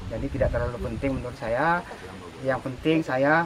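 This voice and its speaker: A man talks in a fairly high voice with fairly even intonation. Noticeable background noise runs underneath. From Indonesia, Jambi (Kuala Tungkal). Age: 60s. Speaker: craftsman. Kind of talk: interview. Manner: hesitant, many fillers.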